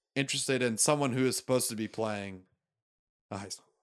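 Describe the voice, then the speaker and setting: In a very clean recording with a silent background, a man with an American accent and a medium pitch speaks at a fairly quick pace. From Florida (Tallahassee). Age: 20s. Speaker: podcast host. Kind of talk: casual chat.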